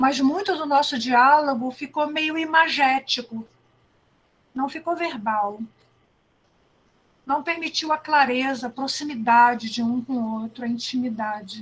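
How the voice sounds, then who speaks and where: A woman's high voice at a fairly slow pace, with ordinary pitch variation and long, frequent pauses. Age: 70s. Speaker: educator and speaker. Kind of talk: talk. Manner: conversational.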